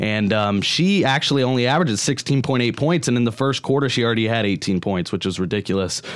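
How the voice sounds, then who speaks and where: Barely pausing, a man rattles along at a very fast pace with lively intonation and medium pitch over noticeable background noise. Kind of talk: casual sports panel discussion on student radio. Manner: conversational, a bit hesitant with fillers and restarts, earnest.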